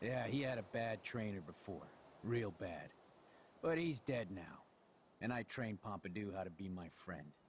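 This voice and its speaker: A man puts on a gruff character voice, fairly low in pitch, at a moderate pace. He leaves long, frequent pauses, and background noise is clearly audible. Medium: video game. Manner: gruff, profane.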